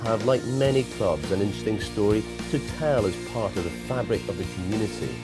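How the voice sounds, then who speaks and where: Music plays in the background as a man speaks. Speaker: celebrity chef. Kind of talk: promotional narration.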